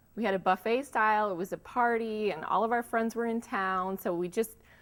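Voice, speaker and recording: With a General American accent, a woman talks at a moderate pace in a plain, everyday voice with ordinary pitch variation. The recording is very clean, with a silent background. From Florida, Tampa. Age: 30s. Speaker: local resident. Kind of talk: personal storytelling interview.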